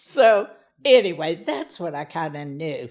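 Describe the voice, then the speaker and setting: Vocal fry runs through the speech of a woman with an American accent. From US South, Louisiana (Church Point). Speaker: interviewee telling her life story. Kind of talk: life story interview. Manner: loud.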